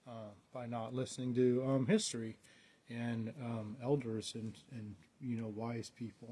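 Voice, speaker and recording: A man speaks at a medium pitch with fairly even intonation and a somewhat breathy quality. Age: 50s. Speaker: storyteller. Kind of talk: casual storytelling monologue. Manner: halting, many fillers.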